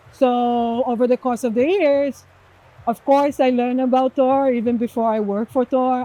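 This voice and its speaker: A woman speaks at a moderate pace with a Portuguese accent. Her tone is dark and mellow, and the sound is dry and close with no echo. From Brazil. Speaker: executive director of a privacy nonprofit. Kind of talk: interview.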